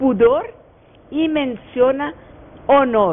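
Over light background noise, a woman with a Portuguese accent speaks at a very slow pace. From Brazil. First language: Portuguese (speaking Spanish). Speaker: lawyer and professor; lawyer, professor. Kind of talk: radio interview. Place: studio. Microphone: lapel.

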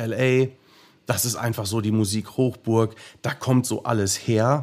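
A man at a medium pitch, fairly slow in pace, with monotone, flat intonation. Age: 30s. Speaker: professional drummer. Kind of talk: interview. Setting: remote recording late at night.

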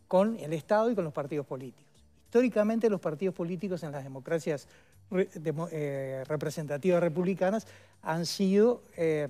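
Over faint background music, a man with a high pitch speaks at a moderate pace with ordinary pitch variation. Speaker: former minister, guest. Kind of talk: interview answer. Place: studio. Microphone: headset.

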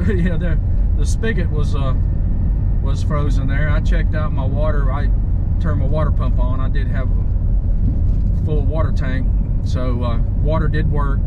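A man speaks at a moderate pace while loud background noise fills the clip. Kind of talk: casual vlog chat. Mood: relaxed, relieved. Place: car. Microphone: phone near.

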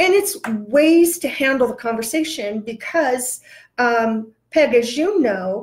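Against a quiet background, a woman with a high voice speaks at a very slow pace. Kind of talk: interview answer. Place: office.

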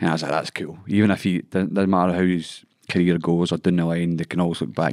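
Very fast speech comes from a man with a Scottish accent. The sound is dry with no echo, over a quiet background. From Scotland. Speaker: MMA fighter. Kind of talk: casual chat. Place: studio. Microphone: studio mic.

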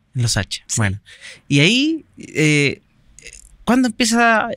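Against a quiet background, a man with a Chilean accent speaks with a bright, sharp tone and very wide pitch swings, the sound dry with no echo. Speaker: podcast host. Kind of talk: interview. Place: studio. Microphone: studio mic.

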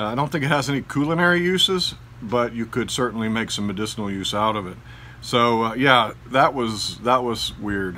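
With lively intonation and a bright, sharp tone, a man speaks at a medium pitch. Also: moderate pace. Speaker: gardening YouTuber. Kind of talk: casual garden tour vlog.

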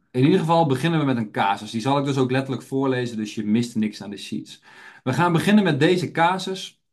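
A man's voice with audible room echo. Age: 30s. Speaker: health educator and trainer. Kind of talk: webinar lecture. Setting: online webinar.

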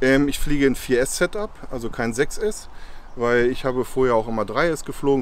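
A man's voice with ordinary pitch variation, dry with no echo, over light background noise. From Lower Saxony, Harz (Goslar); Lower Saxony. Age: 40s. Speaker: FPV drone pilot and YouTuber; YouTuber. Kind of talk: tutorial. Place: open country.

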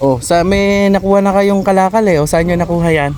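A man speaking with music in the background. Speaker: vlogger. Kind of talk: casual chat. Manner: animated.

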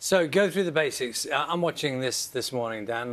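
At a fairly slow pace, a man talks with a British accent. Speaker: breakfast TV news presenter. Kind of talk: TV news interview. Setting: studio. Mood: friendly, conversational. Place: studio.

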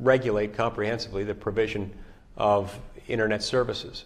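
A man speaks in an ordinary speaking voice, fairly low in pitch, with fairly even intonation. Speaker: politician answering constituents. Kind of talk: interview answer. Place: office.

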